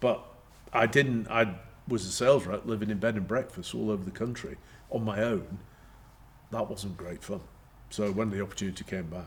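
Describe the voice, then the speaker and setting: A man speaks at a fairly low pitch, somewhat breathy. He leaves long, frequent pauses. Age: 60s. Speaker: company chairman. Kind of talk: interview. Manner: halting.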